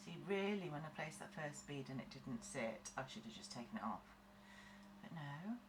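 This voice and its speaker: Very wide pitch swings in a British accent, with audible room echo and noticeable background noise. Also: woman, very deep, low pitch for a woman, moderate pace. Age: 40s. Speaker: nail tech tutorial creator. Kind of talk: tutorial. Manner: casual, chatty.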